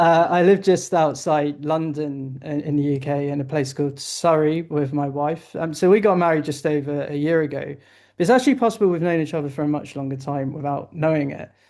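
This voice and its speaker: In a quiet background, a man with a British accent speaks at a fairly high pitch in a dark, mellow tone. His pace is fairly quick, with hardly any pauses and fairly even intonation. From southern England. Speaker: investment analyst. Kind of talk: interview. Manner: hesitant, with fillers.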